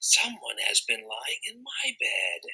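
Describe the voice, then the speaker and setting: A man puts on a raspy character voice at an extremely high pitch. He delivers it at a fairly slow pace. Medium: read story.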